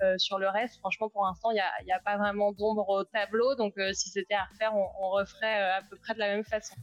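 Her medium-pitched voice moves at a fairly quick pace with hardly any pauses, the intonation flat and monotone. The woman's sound is dry and close, with no echo. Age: 30s. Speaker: startup founder and CEO. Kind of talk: live interview.

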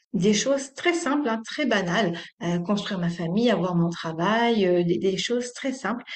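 Against audible room echo, a woman talks at a fairly slow pace with lively intonation. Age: 30s. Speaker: yoga teacher. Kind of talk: interview.

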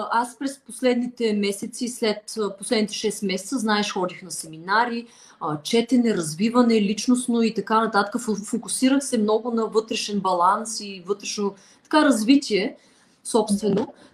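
A woman speaks somewhat breathily at a fairly high pitch and a fairly slow pace, with ordinary pitch variation and big swings in loudness. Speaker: flutist and language teacher. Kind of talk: interview.

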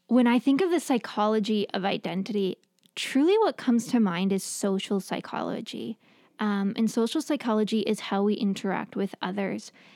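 A woman with a New York accent speaks at a fairly high pitch in a dark, mellow tone, the sound dry and close with no echo in a very clean recording with a silent background. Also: ordinary pitch variation, moderate pace. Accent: New York American. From New York, US. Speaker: therapist and professor. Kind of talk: casual interview chat. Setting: studio, in person.

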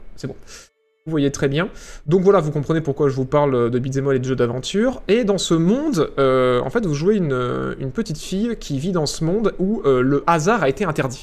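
A man speaks at a moderate speed, his fairly high voice moving with lively intonation while noticeable background noise plays underneath. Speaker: streamer. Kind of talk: live stream commentary. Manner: animated, varying pitch.

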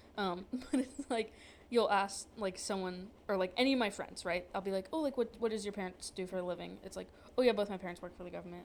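A woman speaks at a very fast pace with an American accent. Her pitch varies in an ordinary way. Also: medium pitch for a woman. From northern Virginia, near DC. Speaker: podcast host. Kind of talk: casual chat.

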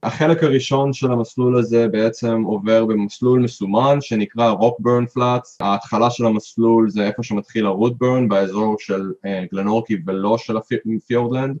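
A man's medium-pitched voice at a moderate pace, with fairly even intonation and hardly any pauses, dry and close with no echo. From Israel. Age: 30s. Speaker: hiker. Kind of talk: interview. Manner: halting.

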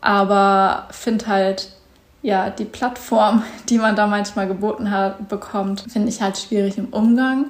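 Fairly even intonation moves at a moderate pace over noticeable background noise. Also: woman. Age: 20s. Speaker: podcast host and content creator. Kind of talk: casual solo monologue. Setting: at home on a couch. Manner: hesitant, filler words.

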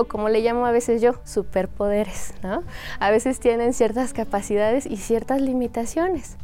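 Amid noticeable background noise, a woman with a fairly high pitch talks at a moderate pace with ordinary pitch variation. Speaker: Chinese language teacher. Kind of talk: interview explaining language teaching.

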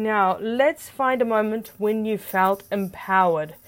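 A woman speaks at a fairly slow pace in a plain, everyday voice, her medium pitch showing ordinary variation. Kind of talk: guided meditation. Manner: soft, slow, calm coaching with deliberate pauses and gentle commands; warm, encouraging and upbeat, chatty in the intro.

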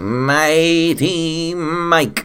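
This is a put-on character voice. Light background noise can be heard. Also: man.

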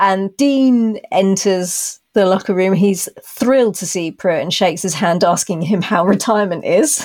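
A woman with a British accent at a medium pitch, with ordinary pitch variation, a fairly slow pace and hardly any pauses, in a very clean recording with a silent background. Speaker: podcast host. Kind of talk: casual chat.

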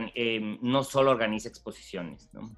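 A fairly slow pace over music in the background. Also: man. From Mexico, Mexicali (Baja California border). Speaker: architecture curator and gallery director. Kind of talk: interview. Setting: video call. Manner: hesitant, many repetitions and fillers.

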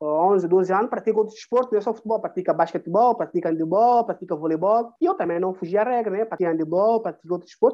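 Here a man talks at a very fast pace with hardly any pauses. His pitch is high, with ordinary pitch variation. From São Tomé and Príncipe. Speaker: former footballer. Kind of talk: interview. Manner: halting.

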